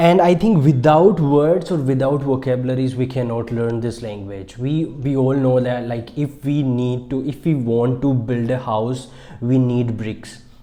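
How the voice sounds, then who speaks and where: A man with an Indian accent, fairly slow but with hardly any pauses, ordinary pitch variation and audible room echo. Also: medium pitch for a man. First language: Marwari. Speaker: English teacher YouTuber. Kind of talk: tutorial. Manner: halting.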